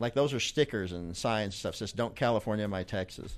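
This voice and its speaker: Speaking with a Southern US accent, a man uses a medium pitch. His pitch varies in an ordinary way. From Arkansas. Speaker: podcast guest, coworker of host. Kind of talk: casual political chat. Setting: live podcast in a cigar lounge.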